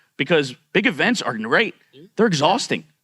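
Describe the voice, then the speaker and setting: The speaker is a man. His tone is bright and sharp. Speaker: streamer. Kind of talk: panel discussion. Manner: halting, many fillers.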